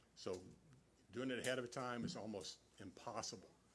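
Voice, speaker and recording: A man speaks at a fairly low pitch. Audible echo fills the room. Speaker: meeting attendee speaking at city council. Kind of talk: public meeting discussion. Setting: city council meeting hall, speaking at a mic. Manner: loud; halting, many repetitions.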